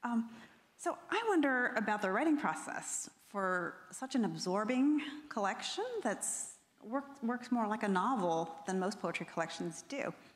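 This woman talks at a fairly slow pace. Her intonation is lively. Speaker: creative writing professor. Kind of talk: onstage interview conversation. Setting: stage with audience. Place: stage.

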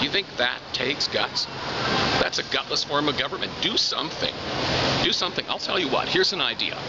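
A man speaks at a fairly quick pace. Loud background noise runs underneath. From Canada. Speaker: former talk radio host. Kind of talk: interview answer. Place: shop. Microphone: phone near.

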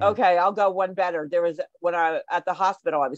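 At a fairly quick pace, a woman with a New Jersey accent speaks at a fairly low pitch with ordinary pitch variation, in a dry sound with no echo and a quiet background. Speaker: show guest. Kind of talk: casual chat. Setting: video call. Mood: amused storytelling. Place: home room. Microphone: video call.

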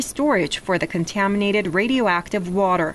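Her intonation lively, a woman talks in an ordinary speaking voice at a medium pitch and a moderate pace. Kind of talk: news reading. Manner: formal, steady, measured newsreader delivery.

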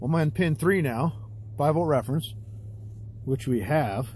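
A man speaks fairly slowly in a somewhat breathy voice. The sound is dry with no echo, over light background noise. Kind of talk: tutorial. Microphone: phone near.

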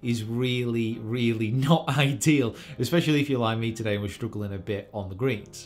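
With faint music in the background, a man speaks at a fairly quick pace with hardly any pauses. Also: ordinary pitch variation. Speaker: golf professional vlogger. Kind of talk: casual vlog chat. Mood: cheerful, self-deprecating. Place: home room. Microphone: webcam.

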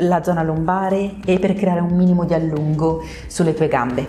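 A woman at a moderate pace with ordinary pitch variation, over light background noise. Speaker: pilates instructor. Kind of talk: exercise class instruction. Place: empty room.

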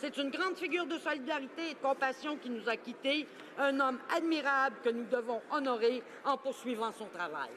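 Light background noise sits under a woman's high-pitched voice. Her pace is moderate and her pitch variation ordinary. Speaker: member of parliament. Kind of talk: parliamentary statement, tribute speech. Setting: House of Commons chamber. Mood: solemn, respectful. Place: hall.

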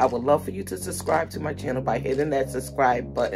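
Clear music plays in the background while a woman speaks. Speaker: lifestyle vlogger. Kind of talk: casual vlog chat. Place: home room. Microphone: phone near.

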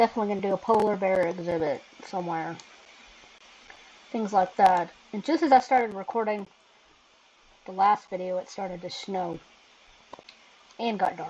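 A woman at a moderate pace, with big swings in loudness and long, frequent pauses. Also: ordinary pitch variation. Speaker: game player narrator. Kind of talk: gameplay commentary.

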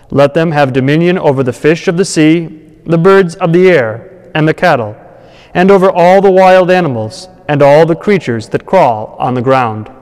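A man at a moderate pace against a quiet background. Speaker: priest. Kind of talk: scripture reading. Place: church.

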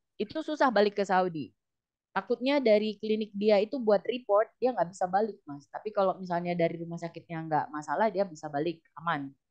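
A woman's lively intonation at a fairly quick pace, against a quiet background. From Indonesia. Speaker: nurse and document processing consultant; guest. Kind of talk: casual interview. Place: home room. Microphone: headset.

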